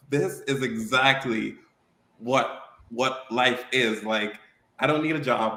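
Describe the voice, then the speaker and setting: Amid audible room echo, a man with an American accent talks in a medium pitch with a bright, sharp tone and ordinary pitch variation. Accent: Virgin Islands Caribbean, comes out at times. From St. Thomas, US Virgin Islands. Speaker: car show promoter. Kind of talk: podcast interview.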